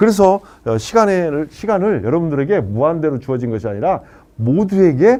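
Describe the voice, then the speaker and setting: A man's fairly high-pitched voice with a dark, mellow tone and very wide pitch swings, at a fairly quick pace. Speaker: lecturer on life planning. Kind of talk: lecture. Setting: live online session. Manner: fast.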